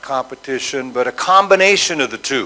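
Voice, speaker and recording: A man speaks at a moderate speed, his pitch varying in an ordinary way, against noticeable background noise. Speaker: business school president. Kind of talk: conference talk. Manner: hesitant with fillers.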